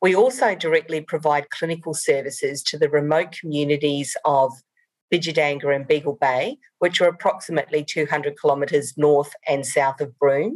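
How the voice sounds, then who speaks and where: At a fairly quick pace, a woman with a slight New Zealand accent speaks in a very deep, low pitch. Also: ordinary pitch variation. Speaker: rural doctor and medical director. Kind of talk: conference presentation.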